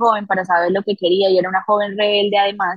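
A woman's medium-pitched voice at a very fast pace, monotone and flat, in a dry, close sound with no echo. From Colombia, Bucaramanga, Santander. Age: young. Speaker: political communications director. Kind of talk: interview conversation.

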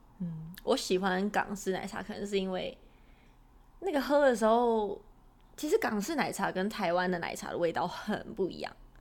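A woman talks at a moderate pace with lively intonation and a medium pitch. She has an unremarkable speaking voice. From Taiwan. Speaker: podcast co-host. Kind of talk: casual chat.

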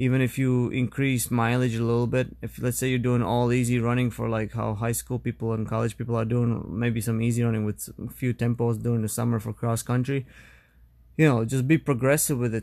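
A man talks at a medium pitch and a fairly quick pace. The recording is very clean, with a silent background. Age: 30s. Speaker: podcast host, running coach. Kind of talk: solo podcast monologue. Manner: casual, halting with fillers.

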